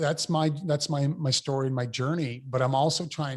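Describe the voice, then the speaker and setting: With fairly even intonation, a man talks in a voice that is somewhat breathy. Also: very clean recording, silent background. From New Brunswick, Canada (Fredericton). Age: 50s. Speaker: mayor. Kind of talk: interview. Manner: halting, many fillers and repetitions.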